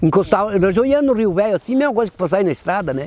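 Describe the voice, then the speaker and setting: A man speaks with lively intonation. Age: 70s. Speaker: former cattle drover. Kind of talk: oral history interview. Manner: halting, repeats words.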